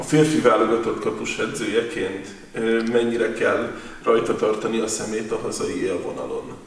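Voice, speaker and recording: A man speaks at a moderate pace, with audible room echo. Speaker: sports interviewer. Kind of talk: sports interview. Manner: formal.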